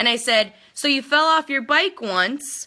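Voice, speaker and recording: In a North Dakota accent, a woman with a high pitch and a bright, sharp tone speaks in an animated, raised, projected voice. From North Dakota, Minot. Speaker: network marketing team leader. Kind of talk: live video pep talk.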